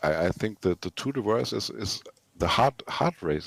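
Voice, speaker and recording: A man with a non-native accent speaks at a moderate pace with lively intonation, recorded with a dry, close sound and no echo. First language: not English. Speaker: racing team driver in a game race. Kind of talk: post-race interview. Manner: halting, repeats words.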